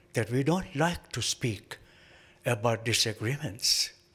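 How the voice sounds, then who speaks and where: A man's fairly slow speech with vocal fry and very wide pitch swings. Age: 80s+. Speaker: professor of religious studies. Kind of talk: conference talk. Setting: panel at a conference.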